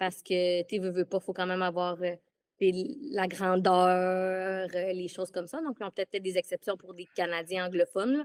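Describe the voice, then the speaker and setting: In a Quebec accent, a woman talks at a moderate pace and medium pitch with ordinary pitch variation, the sound dry and close with no echo. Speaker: former theme park employee. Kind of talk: casual interview. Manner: halting.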